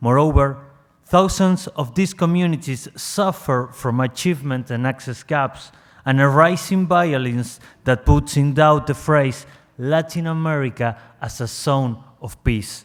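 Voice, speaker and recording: On a very clean recording with a silent background, a man speaks with a Spanish accent. His pitch is fairly high with ordinary variation, and his pace is fairly slow. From Argentina. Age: young. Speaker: civil society delegate. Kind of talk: prepared statement read aloud. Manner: reading from script.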